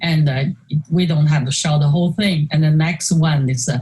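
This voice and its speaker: With a Chinese accent, a woman speaks in a very deep, low voice that is somewhat breathy, her intonation fairly even. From China. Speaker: artist. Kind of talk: interview conversation presenting slides. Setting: video call. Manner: halting with many fillers.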